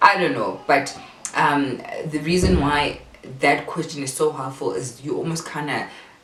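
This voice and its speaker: A woman with a very deep, low voice speaks at a moderate pace with ordinary pitch variation. Audible room echo and noticeable background noise are present. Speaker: parenting vlogger. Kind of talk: casual tutorial. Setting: bedroom at home.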